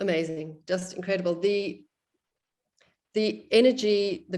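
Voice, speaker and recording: This woman has an ordinary speaking voice at a medium pitch. Her pitch variation is ordinary. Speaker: qigong student in instructor training. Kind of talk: group discussion of experiences.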